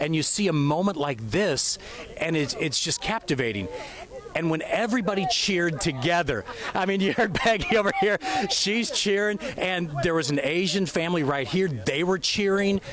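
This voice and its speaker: Lively intonation marks this speech in an American accent, delivered at a moderate pace with very even loudness over noticeable background noise. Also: man, high pitch for a man. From United States. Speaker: TV news reporter. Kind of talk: live field report interviews. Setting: outdoors at launch site.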